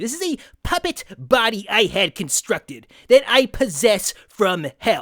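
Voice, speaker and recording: In a put-on character voice, the speaker uses a fairly high pitch with very wide pitch swings. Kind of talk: comedy parody interview. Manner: casual, rambling.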